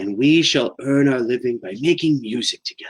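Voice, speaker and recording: The speaker uses a put-on character voice at a fairly quick pace. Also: man. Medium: read story. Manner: warm, welcoming.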